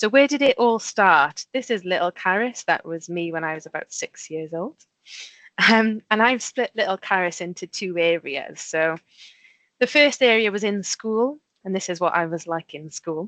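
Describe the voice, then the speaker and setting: A woman with a Welsh accent speaks at a moderate pace and medium pitch, her intonation lively, in a dry, close recording with no echo and a quiet background. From Wales. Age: 30s. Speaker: safety engineer. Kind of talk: presentation to school pupils.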